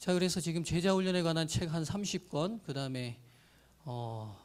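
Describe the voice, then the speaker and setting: Here a man talks at a moderate pace with a fairly high pitch. His intonation is lively. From Jeolla, South Korea. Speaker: pastor. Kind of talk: lecture. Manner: formal.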